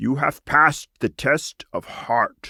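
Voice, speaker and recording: In a put-on character voice, a man growls in a croaky tone at a fairly slow pace. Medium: read story. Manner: rambling, genial.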